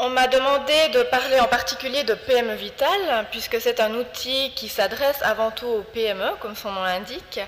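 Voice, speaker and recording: The speaker has a Swiss French accent and a moderate pace, with hardly any pauses. Pitch variation is ordinary, and noticeable background noise is present. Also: woman, high pitch for a woman. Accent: Fribourg Swiss French. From Switzerland, Fribourg. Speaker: health promotion foundation representative. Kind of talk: presentation talk.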